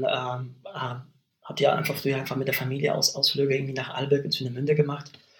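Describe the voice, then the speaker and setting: A man talks at a fairly high pitch. He speaks fairly quickly. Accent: Polish. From Poland, West Pomerania. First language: Polish (speaking German). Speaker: university language lecturer. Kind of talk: interview conversation. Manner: hesitant, many fillers.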